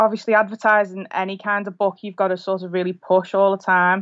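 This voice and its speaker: Flat, monotone intonation in a Lancashire accent. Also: woman. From northern England, rural Lancashire between Preston and Liverpool. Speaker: author. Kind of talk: casual chat.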